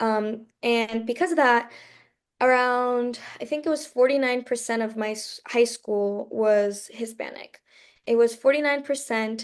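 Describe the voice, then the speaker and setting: A woman's fairly slow, fairly high-pitched delivery with fairly even intonation, an ordinary speaking voice, and a quiet background. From southeastern Pennsylvania, Kennett Square (from age five, born in Mexico). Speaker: college student. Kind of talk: presentation to students. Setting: video call. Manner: casual, many filler words.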